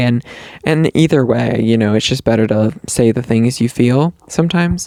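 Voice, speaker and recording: The voice has a dark, mellow tone and a Southern US accent with ordinary pitch variation. The recording sounds dry and close, with no echo. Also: man. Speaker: podcast host. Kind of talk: casual chat. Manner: halting, many fillers.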